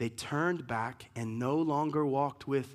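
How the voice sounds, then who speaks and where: This is a man with an unremarkable speaking voice. His pitch varies in an ordinary way. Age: 40s. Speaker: pastor. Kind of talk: sermon.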